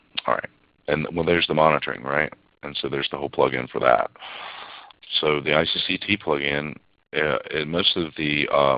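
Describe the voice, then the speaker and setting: At a fairly quick pace, a man with a very deep, low pitch and vocal fry speaks with fairly even intonation, broken by long, frequent pauses. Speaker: technical instructor. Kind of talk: live webinar demo. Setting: online webinar. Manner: hesitant, many fillers.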